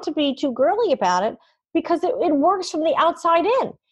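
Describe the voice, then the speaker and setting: With an American accent, a woman speaks at a moderate pace, her pitch swinging very widely. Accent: New York edge, shows more when tired. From New York City. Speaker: podcast host and communications leader. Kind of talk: interview conversation.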